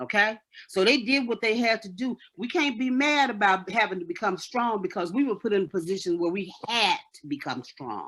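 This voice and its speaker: Lively intonation at a moderate pace. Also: woman, fairly high pitch for a woman. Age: 60s. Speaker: caller in a radio talk show debate. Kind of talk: heated debate. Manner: passionate.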